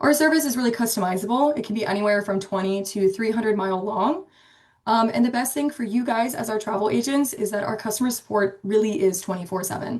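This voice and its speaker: A woman with an American accent speaks at a very fast pace, her voice somewhat breathy. Her pitch sits fairly high, with ordinary variation. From Pennsylvania, Pittsburgh, US. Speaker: marketing specialist, webinar presenter. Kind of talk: webinar presentation. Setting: online webinar. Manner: many filler ums, casual.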